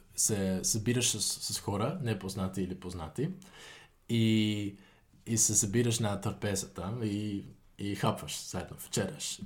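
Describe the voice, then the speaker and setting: Speaking very slowly with a Dutch accent, a man uses a fairly low, somewhat breathy voice with ordinary pitch variation. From Netherlands, Utrecht. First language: Dutch (speaking Bulgarian). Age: 20s. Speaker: university student. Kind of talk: interview. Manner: halting.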